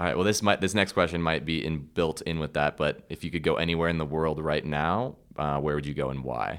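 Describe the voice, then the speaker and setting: With vocal fry and hardly any pauses, the speech moves at a fairly quick pace on a very clean recording with a silent background. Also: man, very deep, low pitch for a man, ordinary pitch variation. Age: young. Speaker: podcast host. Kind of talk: casual interview chat.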